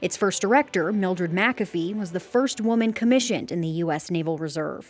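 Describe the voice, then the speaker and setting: Lively intonation marks a woman's fairly quick speech at a medium pitch. It is an ordinary speaking voice. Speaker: news reporter. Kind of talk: TV news report.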